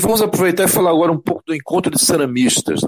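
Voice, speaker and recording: A man is talking. The sound is dry and close, with no echo. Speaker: community radio host. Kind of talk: radio interview.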